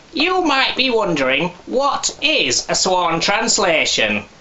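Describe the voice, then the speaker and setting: A man's pitch swings very widely, with noticeable background noise in the recording. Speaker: ventriloquist. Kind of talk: promotional advert read.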